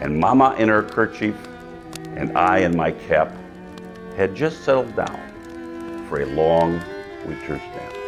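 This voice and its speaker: Over music in the background, a man with a very deep, low voice speaks very slowly, using lively intonation and long, frequent pauses. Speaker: mayor. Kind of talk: poetry reading.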